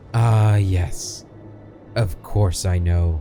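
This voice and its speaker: Over clear background noise, a man uses a put-on character voice pitched very deep and low. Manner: hesitant.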